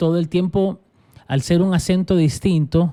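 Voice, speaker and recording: With a Salvadoran accent, a man speaks at a moderate pace in a high pitch with a dark, mellow tone. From El Salvador. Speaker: pastor. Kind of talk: casual interview conversation.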